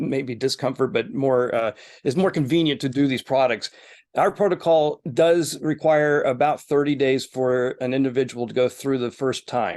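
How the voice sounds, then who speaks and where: With an unremarkable speaking voice, a man talks at a moderate pace and a fairly high pitch, with ordinary pitch variation. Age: 50s. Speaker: wellness center executive. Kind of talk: interview. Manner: frequent filler words.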